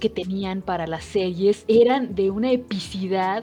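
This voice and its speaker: A woman talks as music plays behind her. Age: 30s. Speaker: podcast co-host. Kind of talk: casual chat.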